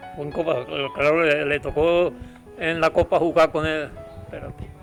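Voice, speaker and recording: Music plays behind a man with a fairly high voice. He speaks at a moderate pace with ordinary pitch variation. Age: 80s+. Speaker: football fan. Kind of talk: interview answer, reminiscing.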